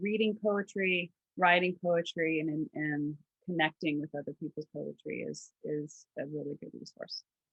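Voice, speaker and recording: A woman with a slight Southern US accent talks fairly low and fairly slow, her intonation fairly even and her loudness swinging widely. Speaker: podcast co-host, trauma resource platform founder. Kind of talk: casual chat.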